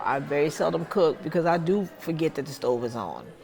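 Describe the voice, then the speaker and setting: A woman speaks at a very deep, low pitch. Noticeable background noise runs under her voice. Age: 60s. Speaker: person living with Alzheimer's, advocate. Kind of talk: interview testimony.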